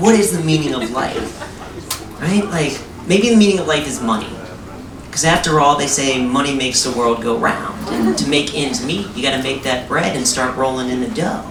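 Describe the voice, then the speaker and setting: A man speaks at a moderate pace in a fairly high voice with lively intonation. Noticeable background noise runs underneath. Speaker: comedian. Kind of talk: comic spoken word performance. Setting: live theatre stage.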